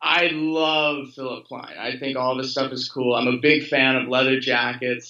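With an American accent, the voice moves at a fairly slow pace in a flat monotone, with hardly any pauses. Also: man, medium pitch for a man, quiet background. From Louisville, Kentucky, USA. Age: 20s. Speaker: fashion model. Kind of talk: interview answer. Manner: casual, relaxed. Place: home room. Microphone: video call.

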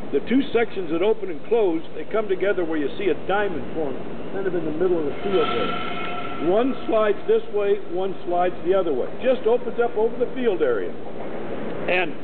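A high-pitched male voice at a moderate pace with ordinary pitch variation and noticeable background noise. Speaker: stadium tour guide. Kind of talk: guided tour talk to a group, explaining facts and figures. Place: stadium. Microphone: camera far.

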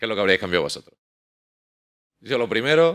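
A man's bright, sharp tone comes through against a quiet background. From Spain, Andalusia (Nerja, Málaga); Andalusia, Spain. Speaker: software engineer, conference speaker; conference speaker. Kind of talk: conference talk. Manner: hesitant, many repetitions and fillers. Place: hall.

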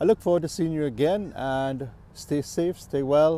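This man's dark, mellow tone moves at a moderate pace with ordinary pitch variation, and the sound is dry with no echo. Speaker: scuba diving instructor or hobbyist. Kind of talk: tutorial. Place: waterside.

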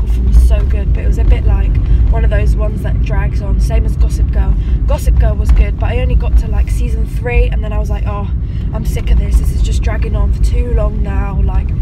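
Fairly quick speech with a dry sound and no echo, over loud background noise. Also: woman. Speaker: vlogger. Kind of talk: casual vlog chat. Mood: chatty, amused. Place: car. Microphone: phone near.

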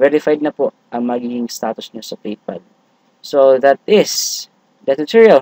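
A man's dark, mellow voice at a medium pitch, with ordinary pitch variation and a fairly slow pace. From Visayas, Philippines. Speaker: tech YouTuber. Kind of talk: tutorial. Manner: halting.

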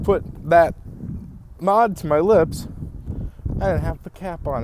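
Despite noticeable background noise, the dry sound with no echo carries a man's fairly high pitch and lively intonation. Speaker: vaper, vlogger. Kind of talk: casual talk to camera. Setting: outdoors. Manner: hesitant, filler-heavy. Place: street. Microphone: earbuds.

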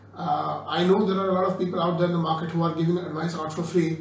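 Talking very fast in a flat monotone, a man with a high pitch is heard with audible room echo and light background noise. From India. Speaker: course participant, former advertising professional. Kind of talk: testimonial talk. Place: classroom. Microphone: phone near.

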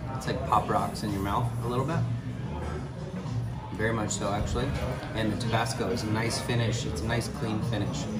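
Over loud background music, a man talks at a fairly quick pace. His pitch varies in an ordinary way. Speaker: travel food vlogger. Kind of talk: casual vlog chat. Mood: relaxed, appreciative. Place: bar. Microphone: phone near.

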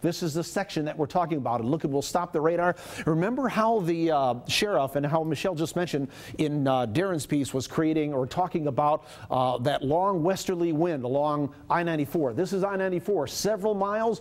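Loudness stays very even as a man speaks fairly quickly in a fairly high pitch, with ordinary pitch variation. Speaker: TV meteorologist. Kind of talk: TV weather analysis segment. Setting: TV studio. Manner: explanatory, fluent, with fillers. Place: studio. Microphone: lapel.

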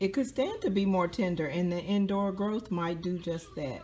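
With light background noise, a woman speaks at a fairly low pitch and ordinary pitch variation. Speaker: home gardener vlogger. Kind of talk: casual vlog chat. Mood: playful, chatty. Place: home room. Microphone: phone near.

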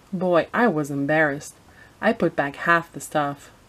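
A woman talks at a fairly slow pace in a low pitch, with ordinary pitch variation.

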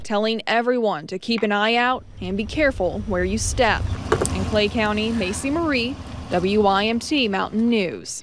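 Amid noticeable background noise, a woman speaks fairly slowly at a fairly high pitch with ordinary pitch variation. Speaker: TV news reporter. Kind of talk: news report. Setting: outdoors.

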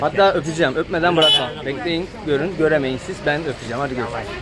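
Against crowd noise in the background, a man with a fairly high pitch and ordinary pitch variation talks at a very fast pace. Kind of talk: casual street vlog talk to camera.

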